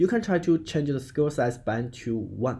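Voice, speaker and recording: Somewhat breathy, a man speaks with a dark, mellow tone. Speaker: game development tutorial creator. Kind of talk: tutorial.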